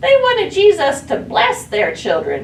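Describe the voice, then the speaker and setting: Putting on a character voice, a woman squeaks at an extremely high pitch and a fairly slow pace. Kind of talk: children's Bible story skit. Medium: stage play. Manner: casual, folksy, chatty.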